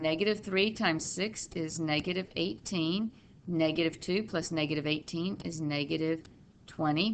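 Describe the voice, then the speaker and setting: In an ordinary speaking voice, a woman talks at a moderate pace with a fairly low pitch and ordinary pitch variation. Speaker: math teacher. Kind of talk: tutorial.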